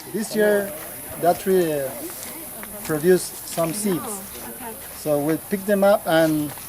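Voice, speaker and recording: A man with a high voice and a Spanish accent speaks very slowly, with long, frequent pauses. His pitch varies in an ordinary way, and there is noticeable background noise. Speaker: local church worker and farmer. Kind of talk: guided tour explanation. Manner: halting.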